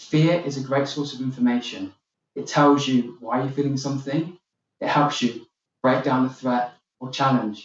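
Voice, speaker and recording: Speaking in a British accent, a man uses a fairly high pitch at a moderate pace. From UK. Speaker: keynote speaker. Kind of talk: keynote speech. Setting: virtual summit video.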